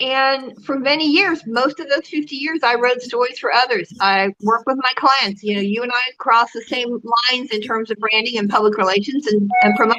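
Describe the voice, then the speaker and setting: With music in the background, a woman talks at a moderate pace in a high voice with ordinary pitch variation. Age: 60s. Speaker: public relations consultant. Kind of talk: interview.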